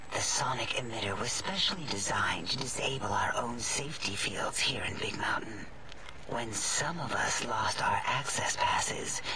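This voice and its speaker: Whispering in a put-on character voice, a man speaks at a moderate pace over loud background noise. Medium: game stream. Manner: fawning, overly attentive.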